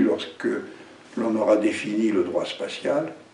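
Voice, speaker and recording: A man talks fairly slowly, his voice carrying audible room echo over noticeable background noise. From France, Brittany. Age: 70s. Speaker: election candidate. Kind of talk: campaign speech. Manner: spontaneous, with hesitations.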